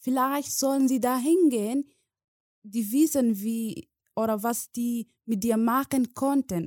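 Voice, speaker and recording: A very slow, dark, mellow voice with a Somali accent, ordinary pitch variation, and a dry, close sound with no echo. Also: woman. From Somalia. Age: 20s. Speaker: guest refugee telling her story. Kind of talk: personal testimony. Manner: halting, emotional, with pauses.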